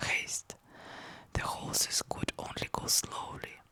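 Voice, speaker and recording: Whispering very slowly in a soothing tone, a woman with a non-native accent speaks over noticeable background noise. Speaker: ASMR content creator, book channel host. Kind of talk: whispered ASMR book reading. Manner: whispered, soft, soothing.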